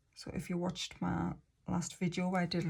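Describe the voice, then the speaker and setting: A woman with an English accent speaks at a moderate pace, somewhat breathy and fairly low in pitch. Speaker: budgeting vlogger. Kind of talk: casual tutorial. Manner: wobbly; hesitant fillers.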